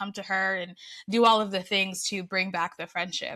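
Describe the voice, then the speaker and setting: A woman talks at a moderate pace and medium pitch, her tone bright and sharp with fairly even intonation. The recording is very clean, with a silent background. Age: 40s. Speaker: content creator. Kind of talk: casual interview chat.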